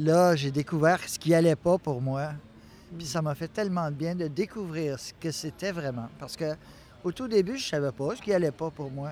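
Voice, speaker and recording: Delivered in a normal speaking voice at a moderate pace, the speech has ordinary pitch variation and big swings in loudness. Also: man, fairly high pitch for a man. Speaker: mental health service user. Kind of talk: interview.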